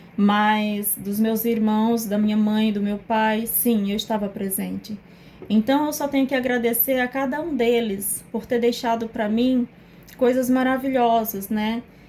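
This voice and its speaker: The voice has a strong northeastern Brazilian accent and a dark, mellow, somewhat breathy tone. Its intonation is fairly even, and the pace is fairly slow. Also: woman, fairly high pitch for a woman. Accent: Northeastern Brazilian accent, kept strong. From Northeast Brazil. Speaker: psychoanalyst. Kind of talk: personal testimony to camera.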